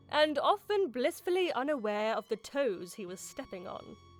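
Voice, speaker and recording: Music plays in the background as a woman speaks at a moderate pace. Her high voice moves in very wide pitch swings. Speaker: voice actor. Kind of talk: video game lore narration.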